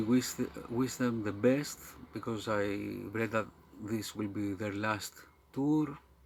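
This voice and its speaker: With a Greek accent, a man at medium pitch speaks in a fairly even intonation broken by long, frequent pauses. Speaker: metal music YouTuber. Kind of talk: casual video monologue. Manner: halting, many fillers.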